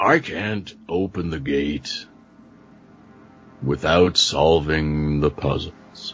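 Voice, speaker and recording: In a put-on character voice with a very deep, low pitch, a man speaks at a very slow pace with long, frequent pauses. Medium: actual play.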